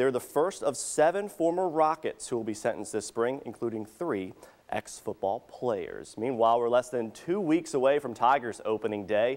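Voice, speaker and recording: A man talks at a moderate pace with hardly any pauses, in an unremarkable speaking voice. His medium-pitched delivery has lively intonation. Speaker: sports anchor. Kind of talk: local TV sports news anchor read.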